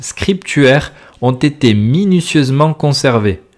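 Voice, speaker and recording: Speaking very slowly in a southern French accent, a man with a fairly high pitch is heard in a very clean recording with a silent background. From southern France. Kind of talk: religious podcast sermon. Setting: home recording, simple equipment. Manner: loud, close to the mic.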